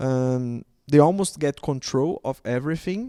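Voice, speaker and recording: At a fairly slow pace, a man with a Portuguese accent speaks fairly high in pitch, with ordinary pitch variation. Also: dry, close sound with no echo. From Brazil. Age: 30s. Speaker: panelist. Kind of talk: panel discussion. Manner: halting.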